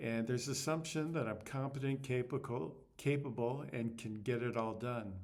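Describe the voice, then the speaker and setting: A man's plain, everyday voice at a medium pitch, with a fairly slow pace and fairly even intonation. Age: 60s. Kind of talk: casual talk to camera. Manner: reflective.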